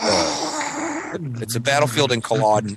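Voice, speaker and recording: A man speaks over noticeable background noise. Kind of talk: casual chat. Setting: at home, kids sleeping nearby. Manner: soft-spoken; halting.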